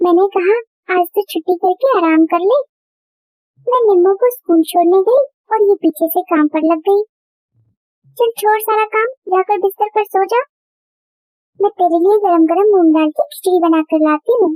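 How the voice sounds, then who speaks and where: A female-sounding cartoonish character voice, pitched extremely high for a woman, moves at a moderate pace with long, frequent pauses. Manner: sharp, bossy.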